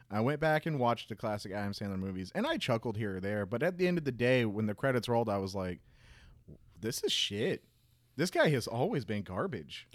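A man with an American accent talks at a fairly quick pace and a medium pitch, in an unremarkable speaking voice, on a very clean recording with a silent background. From Jacksonville, Florida. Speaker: podcast co-host. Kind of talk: casual chat.

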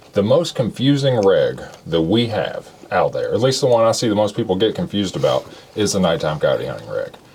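Talking at a fairly quick pace, the man comes through over noticeable background noise. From Kentucky, Shelby County. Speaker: podcast host. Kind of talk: casual chat.

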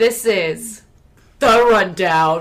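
A female-sounding voice in a gruff put-on character voice sits at a medium pitch. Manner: gruff, with panache and gusto.

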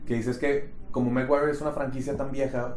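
A man's fairly even intonation amid noticeable background noise and audible room echo. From Mexico, Monterrey. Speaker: podcast co-host. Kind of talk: casual chat.

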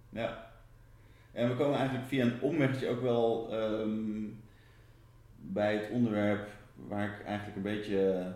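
In a room with audible echo, a man talks at a fairly slow pace in a fairly low, dark, mellow voice. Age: 40s. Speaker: interviewer. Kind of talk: interview. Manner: halting.

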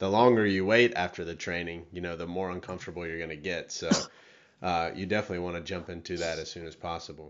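Very deep and low, this man's voice moves at a very fast pace. His intonation is fairly even. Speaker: podcast host. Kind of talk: interview.

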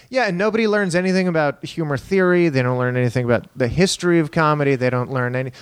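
A man with an American accent, an ordinary speaking voice, fairly high pitch and lively intonation. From Texas, El Paso. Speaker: stand-up comedian. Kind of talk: casual chat.

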